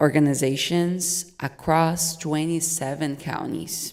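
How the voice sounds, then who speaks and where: Very slowly, a woman talks in a Portuguese accent. She keeps her intonation fairly even. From Brazil. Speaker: nonprofit development manager. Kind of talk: prepared speech read aloud.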